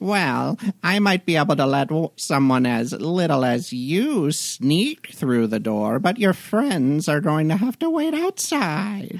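In a put-on character voice, a man speaks at a fairly high pitch. His pace is fairly slow, with hardly any pauses. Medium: actual play. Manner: suspicious, mocking, drawn-out hums.

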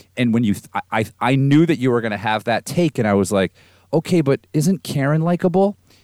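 A man at medium pitch with an ordinary speaking voice, fairly quick pace and lively intonation, recorded with a dry, close sound with no echo. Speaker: podcast co-host. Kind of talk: casual chat.

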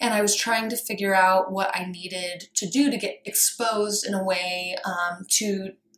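With an American accent and a plain, everyday voice, a woman speaks at medium pitch and a moderate pace, with fairly even intonation and hardly any pauses. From rural Colorado, US. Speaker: fashion designer and workshop leader. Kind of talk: interview.

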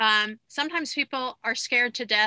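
A woman speaks in a raised, projected voice at a high pitch with a bright, sharp tone. Her moderate pace and ordinary pitch variation come through on a very clean, dry, close recording with no echo and a silent background. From Long Island, New York. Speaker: podcast host, dietitian. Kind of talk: interview, casual chat.

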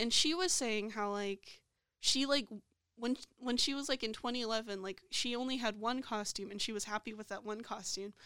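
A woman speaks at a moderate pace with a bright, sharp tone and an American accent. Her pitch sits fairly high, with ordinary pitch variation. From USA. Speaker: podcast co-host. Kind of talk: casual chat.

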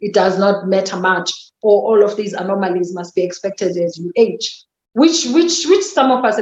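The speaker has a South African accent. The pace is fairly quick. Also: woman. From Eastern Cape, South Africa. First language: Xhosa. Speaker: podcast guest, mother and professional. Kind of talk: casual interview chat, sharing personal money story. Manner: reflective, relaxed, candid.

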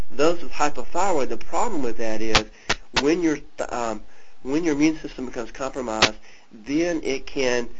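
A man talks at a moderate pace with ordinary pitch variation. The room adds audible echo. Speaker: clinician hosting health teleconference. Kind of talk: lecture with Q&A.

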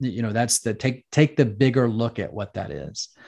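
Against a quiet background, a man with an American accent uses an ordinary speaking voice of medium pitch, with ordinary pitch variation and a moderate pace. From United States. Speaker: former fighter pilot and business coach. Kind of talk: casual interview.

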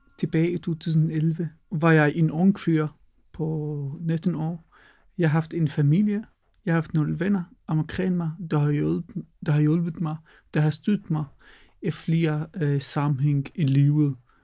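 In an Arabic accent, the speaker goes at a very slow pace with long, frequent pauses, fairly even intonation and a dark, mellow tone. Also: man, fairly high pitch for a man. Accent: Arabic-accented Danish. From Palestine. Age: 20s. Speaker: refugee storyteller. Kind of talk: personal testimony. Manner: halting, hesitant.

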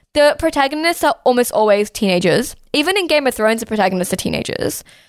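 Pitched high, a woman with an Australian accent swings very widely up and down in pitch. The recording is very clean, the background silent. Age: 20s. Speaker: podcast host. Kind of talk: casual chat.

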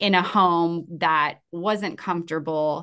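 Over a quiet background, a woman with an American accent speaks at a fairly low pitch with fairly even intonation. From San Diego, California. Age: 40s. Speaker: podcast host. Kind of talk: casual chat.

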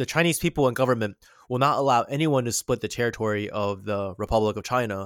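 Fairly quick and medium in pitch, a man with an unremarkable speaking voice and ordinary pitch variation is heard on a very clean recording with a silent background, dry and close with no echo. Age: 20s. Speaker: history commentator. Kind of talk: casual history discussion.

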